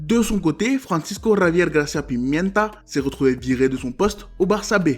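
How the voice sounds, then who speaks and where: Intonation here is lively. The pace stays moderate. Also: man. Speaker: football analysis youtuber. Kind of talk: scripted narration.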